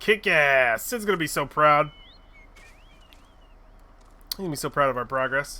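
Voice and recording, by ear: This man's voice is fairly high, with a bright, sharp tone. He speaks fairly slowly, his intonation lively.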